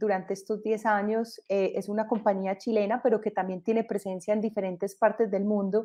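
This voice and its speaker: A woman with a Colombian accent talks at a fairly quick pace with hardly any pauses, her fairly high voice carrying a dark, mellow tone. Her intonation stays monotone and flat against a quiet background. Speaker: entrepreneur. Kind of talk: panel discussion.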